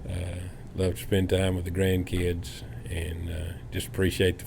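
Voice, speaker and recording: A man with a North Carolina accent, very deep and low in pitch, somewhat breathy, at a fairly slow pace with fairly even intonation and audible room echo. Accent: US Southern (North Carolina). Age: 60s. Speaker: home builder. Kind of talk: casual chat. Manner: halting, many fillers.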